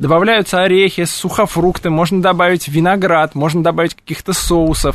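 The man's pitch is high. He speaks at a fairly quick pace. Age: 30s. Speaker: cheese shop owner and cheese expert. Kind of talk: radio interview. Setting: radio studio.

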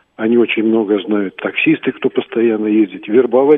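A man with an unremarkable speaking voice talks at a fairly quick pace. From Crimea (Sevastopol). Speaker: caller, former security officer. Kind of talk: phone-in opinion. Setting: phone call.

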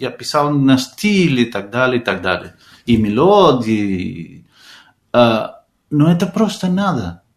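Very slow and marked by long, frequent pauses, a man with a Spanish accent speaks at a medium pitch with very wide pitch swings. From Argentina. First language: Spanish (speaking Russian). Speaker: composer and music teacher. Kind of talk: radio interview. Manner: halting.

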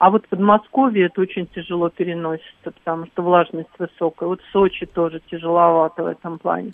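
A woman speaks very fast, with hardly any pauses and big swings in loudness. Her pitch is fairly low and her intonation fairly even. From Crimea. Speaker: radio caller. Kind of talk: casual phone-in chat.

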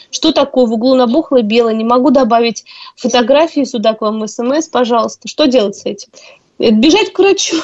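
The intonation is lively. The pace runs fairly quick. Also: woman, high pitch for a woman. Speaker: radio host. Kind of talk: radio call-in show. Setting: radio studio.

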